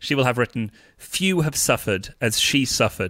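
A man's medium-pitched, bright, sharp voice in a British accent, with lively intonation. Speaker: stand-up comedian. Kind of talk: casual interview chat.

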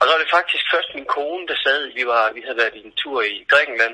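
A man speaks at a moderate pace. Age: 40s. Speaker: art director and speaker with visual impairment. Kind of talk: interview. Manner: halting, many fillers.

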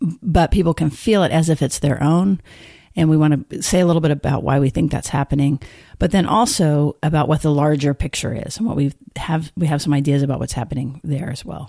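A woman with an American accent speaks at a very deep, low pitch in a dark, mellow tone, at a fairly quick pace with ordinary pitch variation, with a dry, close sound with no echo and a quiet background. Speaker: therapist and podcast co-host. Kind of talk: casual discussion podcast.

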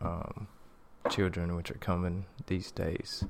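In a room with audible echo, a man speaks slowly enough to be called fairly slow, his pitch very deep and low. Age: 30s. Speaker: podcast host. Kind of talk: solo monologue on spirituality. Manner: halting, many fillers.

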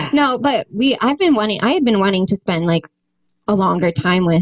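At a moderate pace, a woman with an unremarkable speaking voice talks with lively intonation in a dry, close sound with no echo. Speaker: musician. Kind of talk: casual chat.

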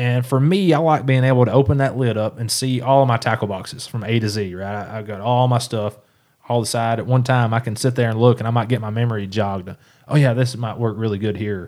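The speaker talks at a very fast pace in a Tennessee accent. Intonation stays fairly even. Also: man, medium pitch for a man. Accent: Southern US (Tennessee). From East Tennessee. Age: 30s. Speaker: professional bass angler. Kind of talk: casual interview chat. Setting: studio.

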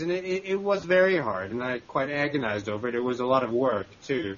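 This man has an unremarkable speaking voice, pitched fairly high, and he talks at a fairly quick pace. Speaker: magazine journalist. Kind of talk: interview.

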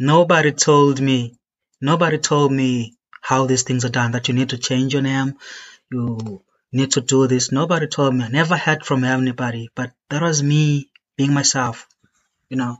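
A man uses a plain, everyday voice at a medium pitch, speaking at a moderate pace with fairly even intonation. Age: 30s. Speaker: podcast guest. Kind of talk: casual chat. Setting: online call.

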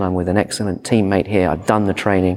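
A man with a British accent. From Britain. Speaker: emergency physician. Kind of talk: conference talk. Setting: stage with audience.

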